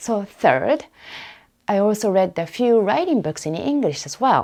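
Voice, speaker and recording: A woman with a non-native accent speaks at a fairly slow pace with very wide pitch swings. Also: medium pitch for a woman. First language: Japanese. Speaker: academic researcher and podcaster. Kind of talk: casual podcast monologue.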